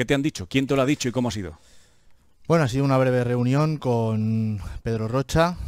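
The background is silent and the recording very clean. A man talks at a moderate speed, his intonation lively. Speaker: psychologist video commentator. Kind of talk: angry rant.

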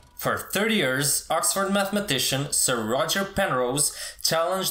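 Speaking at a fairly slow pace, a man has a bright, sharp tone. The background is quiet, with audible room echo. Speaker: presenter. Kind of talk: educational explainer. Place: home room.

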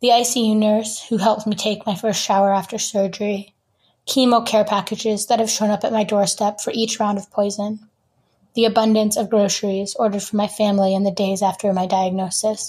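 Speaking with an American accent, a woman with a fairly high pitch talks at a fairly quick pace in a somewhat breathy voice with monotone, flat intonation. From US Northeast (rural Vermont). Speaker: writer and photographer. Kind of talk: reading aloud; interview.

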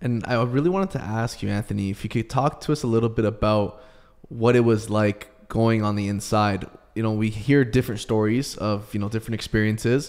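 A man talks with a Canadian accent at a fairly quick pace. His intonation stays fairly even over a quiet background. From Canada. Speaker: podcast co-host. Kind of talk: interview. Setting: video call. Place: studio. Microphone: studio mic.

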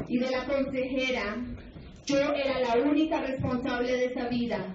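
At a fairly slow pace and high pitch, a woman speaks amid audible room echo and light background noise. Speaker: testimony narrator in projected video. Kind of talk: personal testimony. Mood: sorrowful, confessional. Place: hall.

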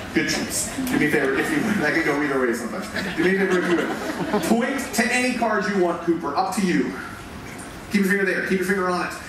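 A man speaks at a very fast pace. Audible room echo and noticeable background noise accompany him. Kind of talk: stage performance patter. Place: stage.

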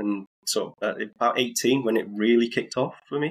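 The recording is very clean, its background silent. A man talks in a British accent. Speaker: sim racing venue founder. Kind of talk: casual interview.

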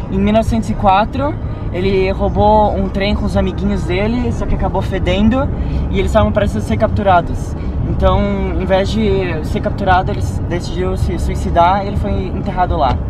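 A man speaks at a moderate pace. The sound is dry with no echo, but the background noise is loud. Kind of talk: casual storytelling. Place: car. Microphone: phone near.

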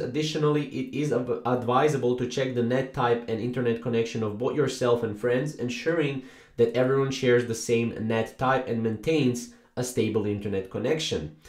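Hardly pausing, a man speaks at a moderate pace with fairly even intonation. There is audible room echo, and the background is quiet. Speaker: tutorial narrator. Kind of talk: tutorial. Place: home room.

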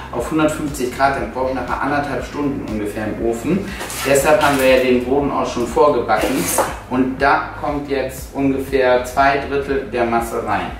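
A man talks at a moderate pace with fairly even intonation. There is audible room echo and noticeable background noise. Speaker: cooking channel host. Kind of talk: tutorial. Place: kitchen.

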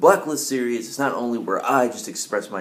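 A man talks fairly quickly while light background noise sits behind him. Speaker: vlogger. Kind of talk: casual vlog chat. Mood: opinionated, mildly confrontational. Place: home room. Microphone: webcam.

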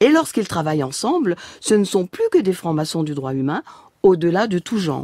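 A woman's fairly low, dark, mellow voice with lively intonation and a dry, close sound with no echo. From Alsace, France. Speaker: freemasonry leader, former English teacher. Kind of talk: interview. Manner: formal.

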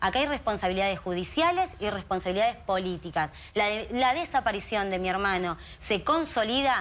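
The woman's pitch sits at a medium level with ordinary pitch variation. She speaks at a moderate pace. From Argentina, Greater Buenos Aires. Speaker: activist, sister of a missing youth. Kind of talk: TV interview. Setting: TV studio. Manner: animated. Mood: earnest, indignant, emotional. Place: studio. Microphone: lapel.

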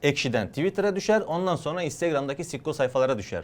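Lively intonation from a man, moving at a fairly quick pace. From Adana, southern Turkey. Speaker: YouTuber and sketch comedian. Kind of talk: interview answering reader questions. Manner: fast.

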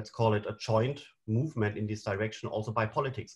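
A man speaks at a fairly quick pace with a somewhat breathy voice and fairly even intonation against a quiet background. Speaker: panel moderator. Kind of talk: moderator introduction and slide explanation. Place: home room. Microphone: webcam.

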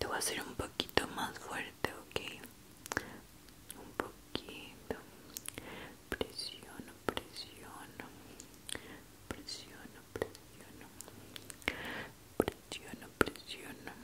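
A soft-spoken woman whispering at a very slow pace, with long, frequent pauses. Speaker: ASMR creator. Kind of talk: soft whispered ASMR roleplay. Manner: soft close ASMR whisper. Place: home room.

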